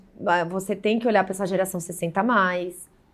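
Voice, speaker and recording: Here is a woman with an unremarkable speaking voice. She talks at a moderate pace. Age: 40s. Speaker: digital marketing specialist. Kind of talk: podcast interview. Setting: bar.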